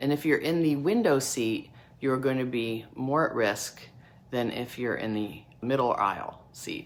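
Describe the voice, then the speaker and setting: This woman has a very deep, low pitch and ordinary pitch variation. She speaks at a fairly slow pace. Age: 60s. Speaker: dermatology physician assistant, skincare channel host. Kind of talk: educational tutorial to camera. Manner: casual, conversational.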